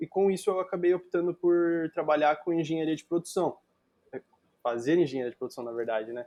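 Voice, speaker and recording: A man's fairly high, dark, mellow voice with a São Paulo accent and ordinary pitch variation. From Brazil, São Paulo. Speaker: digital marketer, guest. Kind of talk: podcast interview. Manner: casual, with many filler words.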